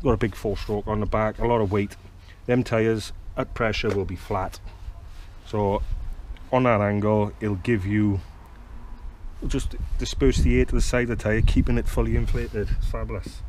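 Speaking at a moderate pace with long, frequent pauses, a man has a fairly low pitch, a slightly mellow tone and fairly even intonation.

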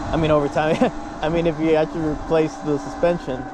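Noticeable background noise runs under a man's voice. There is no echo, and the sound stays dry. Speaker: rider vlogger. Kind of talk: casual vlog chat. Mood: relaxed, positive. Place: motorbike.

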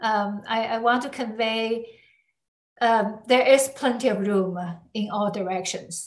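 Against audible room echo, a woman talks fairly slowly at a fairly high pitch with fairly even intonation. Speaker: semiconductor researcher; speaker. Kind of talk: academic talk.

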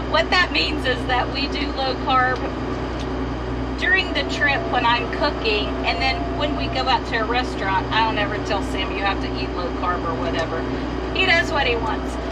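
A woman at a moderate pace amid loud background noise. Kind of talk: casual cooking tutorial. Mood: relaxed, chatty. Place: kitchen. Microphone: camera far.

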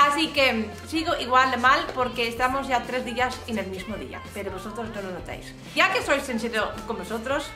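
A woman talks at a high pitch and moderate pace, with hardly any pauses and ordinary pitch variation. Her loudness swings widely over clear music in the background. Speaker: craft youtuber. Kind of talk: casual vlog chat. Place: home room.

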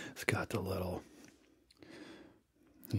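A man speaks softly. The background is quiet. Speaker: ASMR creator. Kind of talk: soft-spoken ASMR chat. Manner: soft-spoken, quiet ASMR delivery. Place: home room. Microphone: studio mic.

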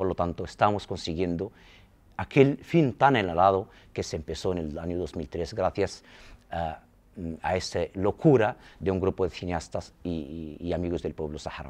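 A man speaks at a fairly slow pace with a very deep, low pitch. His pitch variation is ordinary. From Saharawi refugee camps; Western Sahara. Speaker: film school director; interviewee. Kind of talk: interview. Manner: halting. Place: empty room. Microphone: lapel.

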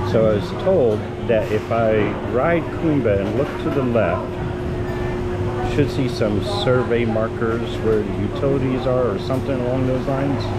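A man speaks over loud background noise, with long, frequent pauses and ordinary pitch variation. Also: fairly slow pace. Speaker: theme park vlogger. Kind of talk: casual vlog chat. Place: stage. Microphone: phone near.

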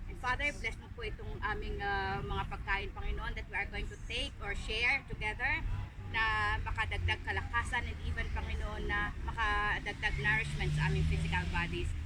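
A woman with a Filipino accent at a moderate pace with hardly any pauses, over noticeable background noise. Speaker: prayer leader. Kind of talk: fervent group prayer, Taglish. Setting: gathering of friends abroad. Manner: earnest, pleading, halting with fillers.

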